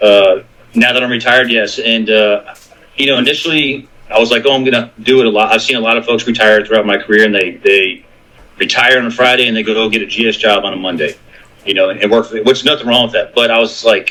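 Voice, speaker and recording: Noticeable background noise runs under a man's voice. He speaks very fast at a medium pitch with fairly even intonation. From US, military family, moved around. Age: 40s. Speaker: Coast Guard veteran. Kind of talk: casual interview.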